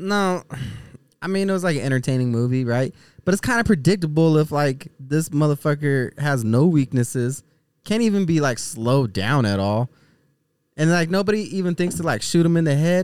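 With an unremarkable speaking voice, a man talks at a fairly quick pace and a fairly high pitch, his intonation lively and his loudness very even. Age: 30s. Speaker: podcast co-host. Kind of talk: casual chat.

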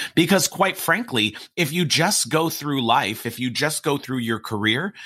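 A man with a plain, everyday voice, medium pitch and lively intonation. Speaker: podcast host and keynote speaker. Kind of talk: podcast hosting and interview.

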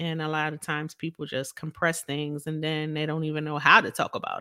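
A woman with an American accent speaks at a very deep, low pitch in a bright, sharp, animated tone. Her fairly quick delivery has hardly any pauses, with a dry, close sound with no echo. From Philadelphia. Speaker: podcast host and preacher. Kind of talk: casual interview chat.

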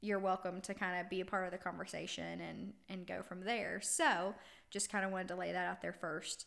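In a very clean recording with a silent background, a woman speaks at a medium pitch with vocal fry. Her pace is moderate. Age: 20s. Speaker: podcast host. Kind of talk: casual monologue. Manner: animated.

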